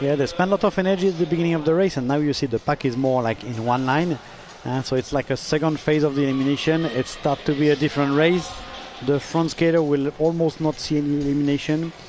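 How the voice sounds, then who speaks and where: With a French accent, a man speaks at a very fast pace in a fairly high pitch with fairly even intonation, over noticeable background noise. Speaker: sports commentator. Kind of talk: live commentary.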